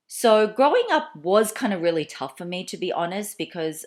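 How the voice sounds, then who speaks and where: Speaking at a fairly quick pace with an Australian accent, a woman makes very wide pitch swings on a very clean recording with a silent background. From Australia (Melbourne), moved from Malaysia at four. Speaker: YouTuber. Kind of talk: casual Q&A vlog. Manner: chatty, with many fillers and restarts.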